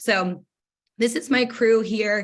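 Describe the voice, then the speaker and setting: A woman speaks with ordinary pitch variation. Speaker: direct sales business owner. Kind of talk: motivational talk. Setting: video call. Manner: fast.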